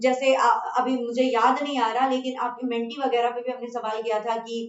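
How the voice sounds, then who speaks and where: The voice belongs to a woman and is high in pitch. She proceeds at a moderate pace. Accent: Bengali. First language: Bengali (speaking Hindi). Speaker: chemistry teacher. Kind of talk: online class talk to students. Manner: casual with fillers and hesitations.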